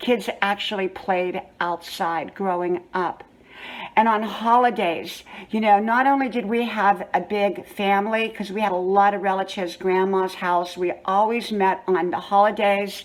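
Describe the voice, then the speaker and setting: A woman with an unremarkable speaking voice talks at a fairly slow pace in a medium pitch. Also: fairly even intonation. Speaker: lifestyle vlogger. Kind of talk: storytelling. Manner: conversational.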